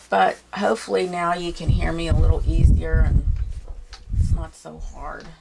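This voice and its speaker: A soft-spoken woman talks in a relaxed tone at a moderate pace. Her loudness swings widely, and background noise is noticeable. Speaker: painting teacher. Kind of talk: tutorial.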